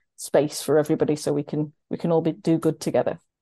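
In a South Yorkshire accent, the speech races at a very fast pace with a dark, mellow tone, the sound dry and close with no echo over a quiet background. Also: woman. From Sheffield, South Yorkshire. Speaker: road safety charity campaigns manager. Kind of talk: interview.

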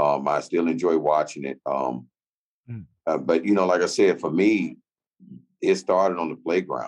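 Vocal fry runs through this man's very deep, low voice. He keeps a moderate pace with ordinary pitch variation and long, frequent pauses. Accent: American. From Chicago, US. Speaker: former pro basketball player. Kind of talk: interview.

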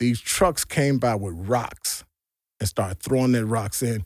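Recorded very cleanly against a silent background, with a dry, close sound and no echo, a man speaks in an unremarkable speaking voice at medium pitch, moderate pace and lively intonation. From US Midwest, Gary, Indiana and Chicago area. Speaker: army veteran. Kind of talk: interview testimony.

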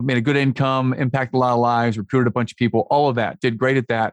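A man at medium pitch speaks in a plain, everyday voice, recorded with a dry, close sound and no echo. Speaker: business coach and author. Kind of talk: podcast interview, storytelling. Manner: upbeat, optimistic.

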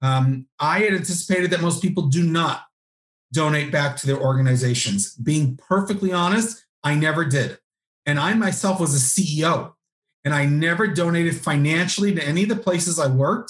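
Using a plain, everyday voice, a man talks at a fairly high pitch with ordinary pitch variation, very even loudness and a moderate pace. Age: 40s. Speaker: nonprofit consultant and author. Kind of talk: interview.

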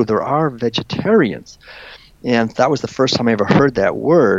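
Noticeable background noise runs under this recording. A man speaks with ordinary pitch variation. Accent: American. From northeastern United States. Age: 60s. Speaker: author and philosopher. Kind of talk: interview. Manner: halting.

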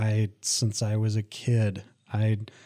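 This man speaks at a fairly low pitch with an Upper Midwest accent. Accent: Upper Midwest American. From Michigan, Lansing area. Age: 30s. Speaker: college veterans services director, army veteran. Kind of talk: casual interview.

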